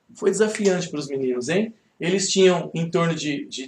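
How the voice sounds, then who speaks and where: This man speaks with ordinary pitch variation. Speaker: Bible study teacher. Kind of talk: Bible study class. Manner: fast; conversational.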